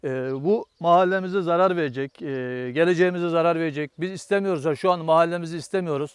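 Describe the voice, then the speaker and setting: Fairly quick speech from a man with a high voice and fairly even intonation. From Turkey, Aydın province (Aegean region). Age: 40s. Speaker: farmer. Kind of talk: interview testimony. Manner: hesitant, many filler sounds.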